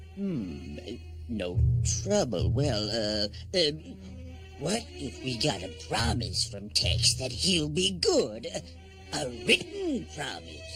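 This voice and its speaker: Over clear background music, a man does a cartoonish character voice at a fairly low pitch, talking fairly slowly with long, frequent pauses. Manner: stammering, nervous.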